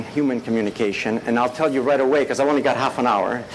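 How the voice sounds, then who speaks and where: A man's medium-pitched voice is heard with audible room echo and noticeable background noise. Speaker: professor. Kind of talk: lecture. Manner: fast.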